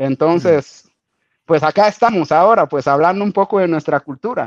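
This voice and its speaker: A man's high-pitched voice with lively intonation at a moderate pace, dry and close with no echo. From Guatemala, Garifuna Caribbean coast. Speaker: Garifuna community figure and musician. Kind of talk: interview. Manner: halting, many repetitions and fillers.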